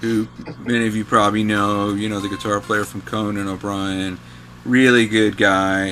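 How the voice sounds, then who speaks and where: Against noticeable background noise, a man with a fairly low pitch speaks at a moderate pace in a monotone, flat intonation. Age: 60s. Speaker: guitarist and music writer. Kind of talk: casual chat.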